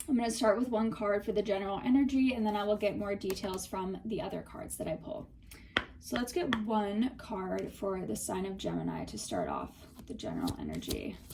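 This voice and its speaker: Delivered at a fairly quick pace, the speech sits against noticeable background noise. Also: woman, medium pitch for a woman, ordinary pitch variation. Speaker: tarot reader. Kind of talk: tarot reading. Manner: casual, filler-heavy.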